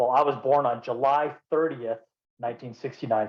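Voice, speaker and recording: With an American accent, a man in a plain, everyday voice speaks at a moderate pace and medium pitch, his intonation fairly even. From Colorado, US. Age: 50s. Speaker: podcast guest, former inmate in recovery. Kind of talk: personal testimony in casual interview.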